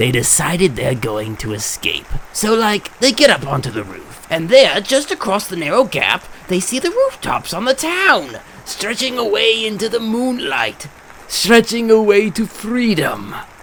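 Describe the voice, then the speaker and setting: A man's cartoonish character voice, high in pitch, with clear background noise. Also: moderate pace. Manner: theatrical, mocking.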